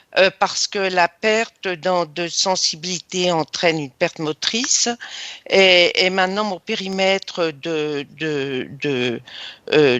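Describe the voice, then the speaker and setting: A woman talks at a very slow pace. Her pitch is fairly low, with ordinary variation. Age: 70s. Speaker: hypnosis session client. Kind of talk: personal testimony in interview. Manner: halting, many hesitations.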